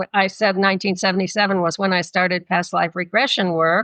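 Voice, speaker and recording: The speaker talks at a moderate pace. Vocal fry runs through the voice. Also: woman. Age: 80s+. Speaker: psychotherapist and past life regression therapist. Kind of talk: interview conversation.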